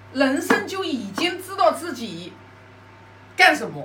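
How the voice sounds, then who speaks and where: Over noticeable background noise and audible room echo, a woman uses a raised, projected voice with very wide pitch swings. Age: 50s. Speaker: Confucian classics study sharer. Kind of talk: lecture-style study sharing. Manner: hesitant, with fillers and repetitions.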